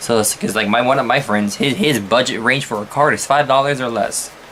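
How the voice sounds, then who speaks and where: There is noticeable background noise. A man talks over it. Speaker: card game YouTuber. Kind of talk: deck profile tutorial. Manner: halting, stutters; casual, animated.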